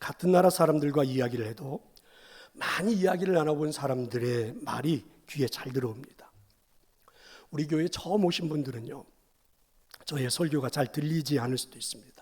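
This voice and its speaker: Somewhat breathy and fairly high in pitch, a man talks with ordinary pitch variation and long, frequent pauses. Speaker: pastor. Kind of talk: sermon. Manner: fast.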